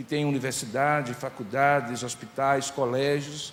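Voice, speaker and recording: A man's fairly high-pitched voice with a Paraíba accent and ordinary pitch variation, amid noticeable background noise and audible room echo. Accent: Northeastern Brazilian (Paraíba). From Paraíba, Brazilian Northeast. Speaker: pastor. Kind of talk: sermon.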